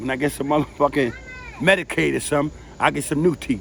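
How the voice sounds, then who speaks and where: A man talks at a fairly quick pace and fairly high pitch, with noticeable background noise around him. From New York City, the Bronx. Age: 60s. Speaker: family member interviewee. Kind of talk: casual chat.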